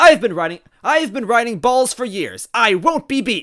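A man uses a put-on character voice, extremely high-pitched with big pitch swings and a fairly bright tone. He keeps a moderate pace, and the recording is very clean with a silent background.

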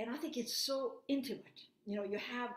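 With a non-native accent, a woman speaks against a quiet background with audible room echo. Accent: noticeable foreign. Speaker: invited lecturer giving a remote talk. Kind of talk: lecture. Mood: grave, earnest.

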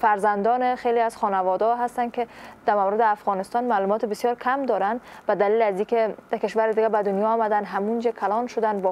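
A woman's fairly high voice at a very fast pace, with fairly even intonation. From Afghanistan. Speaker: morning show host. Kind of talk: interview. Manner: formal. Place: studio. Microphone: lapel.

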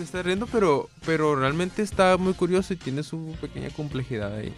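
A man at a fairly high pitch and fairly quick pace with hardly any pauses, ordinary pitch variation and big swings in loudness, dry with no echo, faint music in the background. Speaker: radio co-host. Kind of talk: radio talk show. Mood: relaxed, amused. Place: studio. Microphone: studio mic.

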